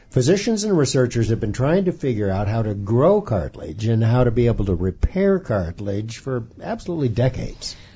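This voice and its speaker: Somewhat breathy, the voice moves at a fairly quick pace with hardly any pauses and very wide pitch swings. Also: man, medium pitch for a man. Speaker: radio host and physician. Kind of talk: radio interview. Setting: studio.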